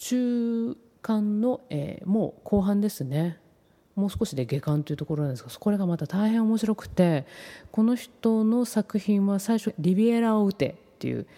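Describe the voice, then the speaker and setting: On a very clean recording with a silent background, a woman with a medium pitch and a dark, mellow tone speaks at a moderate pace with lively intonation. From Tokyo. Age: 40s. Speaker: podcast host, freelance writer. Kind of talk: casual monologue. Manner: polite, formal.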